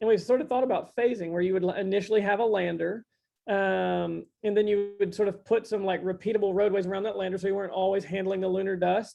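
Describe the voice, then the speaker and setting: A man talks at a very fast pace in a high pitch. His intonation is monotone and flat. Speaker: construction tech company CEO, guest speaker. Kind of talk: technical presentation. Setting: virtual meeting.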